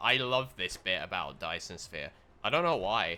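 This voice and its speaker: A bright, sharp tone in a British accent at a moderate pace. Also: man. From Britain. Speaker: video game streamer. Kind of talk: live gameplay commentary. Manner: casual, chatty.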